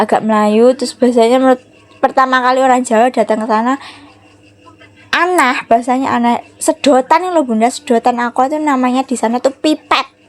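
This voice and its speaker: Speaking at a very fast pace, a woman holds a high pitch. Her intonation stays fairly even. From Java, Indonesia. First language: Javanese (speaking Indonesian). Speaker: home cooking vlogger. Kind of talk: casual cooking vlog chat.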